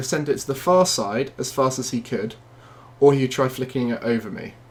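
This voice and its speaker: Fairly quick and somewhat breathy, a man with a British accent talks at medium pitch with ordinary pitch variation. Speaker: gaming video creator. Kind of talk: gameplay tutorial commentary. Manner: fast.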